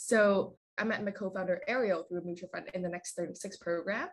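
The somewhat breathy voice moves at a fairly quick pace against a quiet background. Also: woman. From Vietnam. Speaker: startup co-founder. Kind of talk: interview.

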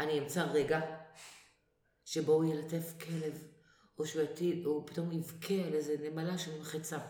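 A woman's very deep, low pitch, monotone and flat intonation, long, frequent pauses, audible room echo. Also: moderate pace. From Israel, Acre. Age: 50s. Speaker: actress. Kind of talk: casual interview.

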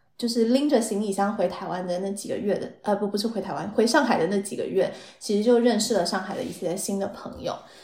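Fairly high female voice with ordinary pitch variation and audible room echo. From Taiwan. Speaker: marketing professional. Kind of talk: casual interview chat.

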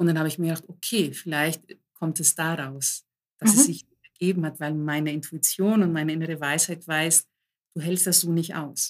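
The delivery comes at a moderate pace with fairly even intonation. It is an unremarkable speaking voice. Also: woman, fairly low pitch for a woman. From Germany, Greek immigrant family. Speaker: coach and author. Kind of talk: casual interview chat.

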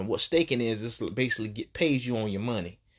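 On a very clean recording with a silent background, a man speaks at a fairly quick pace in a medium pitch. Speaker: comedian and podcast host. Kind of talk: solo stand-up style comedic monologue, riffing rants about everyday life. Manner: loose, rambling conversational delivery with filler ums and uhs; wry, roast-style jabs aimed at an ex.

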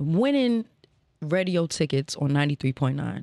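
In an American accent, a woman with an unremarkable speaking voice talks at a moderate pace, her pitch fairly low. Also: very clean recording, silent background. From Northern Virginia (Alexandria), DC area. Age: 30s. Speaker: podcast host and former radio intern. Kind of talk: casual interview chat. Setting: studio with live crew and audience.

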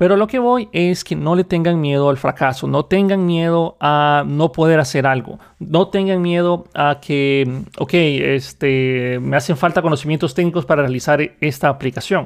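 Over a quiet background, a man talks in an ordinary speaking voice, fairly high in pitch, at a moderate pace with very even loudness. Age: 30s. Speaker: podcast host, software developer. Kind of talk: solo monologue.

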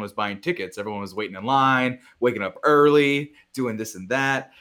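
Very clean recording, silent background: a man with an unremarkable speaking voice, medium pitch, fairly quick pace and lively intonation. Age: 20s. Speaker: film critic. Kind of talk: casual chat. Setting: studio.

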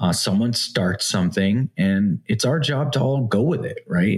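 At a moderate pace, a man speaks in an ordinary speaking voice. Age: 40s. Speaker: blockchain startup founder. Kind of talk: interview.

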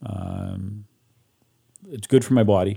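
This man speaks with a Canadian Prairies accent. His tone is dark and mellow. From Canada, Saskatchewan. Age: 60s. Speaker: guest sharing life story. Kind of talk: personal testimony.

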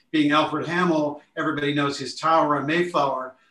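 A man's fairly quick, fairly high voice with an American accent, fairly even intonation, and an unremarkable speaking voice. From Lake Forest, Illinois. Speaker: architect. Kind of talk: podcast interview.

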